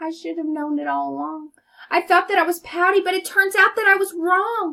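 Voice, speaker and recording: Someone performs a put-on character voice at a fairly quick pace. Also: woman, extremely high pitch for a woman. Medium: read story. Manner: gloomy, downbeat.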